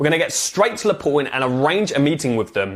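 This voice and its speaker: An animated man speaks with a British accent. His pitch is fairly high for a man and swings very widely. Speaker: business coach. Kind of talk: tutorial. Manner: fast.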